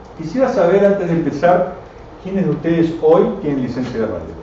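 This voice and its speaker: A man's fairly high pitch with lively intonation at a moderate pace, plus noticeable background noise and audible room echo. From Argentina, Buenos Aires and Córdoba. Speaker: radio amateur and engineer giving a talk. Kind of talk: technical lecture to a live audience. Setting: club venue with audience.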